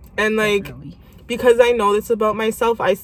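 Noticeable background noise sits behind the speaker. She is a woman with medium pitch. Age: 20s. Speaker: podcast host. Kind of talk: casual chat.

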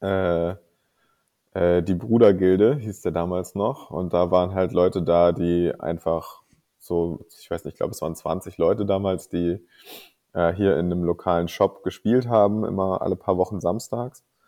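This man has a very deep, low pitch. He keeps a moderate pace with fairly even intonation. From northern Germany, Kiel. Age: 30s. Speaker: miniature painter and tabletop player. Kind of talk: interview.

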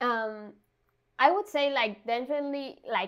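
Speaking with a Spanish accent, a woman talks at a very slow pace. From Argentina, Buenos Aires. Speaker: designer. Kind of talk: interview.

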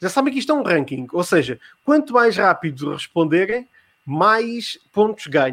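Over a very clean recording with a silent background, a man with a European Portuguese accent speaks at a moderate pace with very wide pitch swings. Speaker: podcast host running a live quiz. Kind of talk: live-streamed casual chat and quiz hosting.

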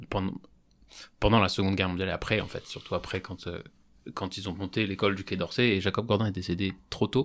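A man's very deep, low voice with monotone, flat intonation, a fairly quick pace and long, frequent pauses in a very clean recording with a silent background. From France, Strasbourg (Alsace). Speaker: podcast host. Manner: hesitant, many fillers.

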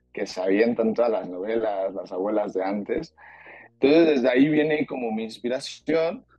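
Lively intonation marks a man talking at medium pitch and a moderate pace. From Mexico. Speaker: singer-songwriter and actor. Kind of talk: interview. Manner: halting, many fillers.

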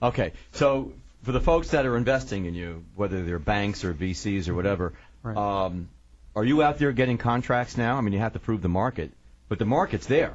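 This man has a normal speaking voice with an American accent and a fairly low pitch. He talks at a fairly quick pace with lively intonation. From upstate New York, Syracuse. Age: 60s. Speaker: radio talk show host. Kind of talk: talk radio interview.

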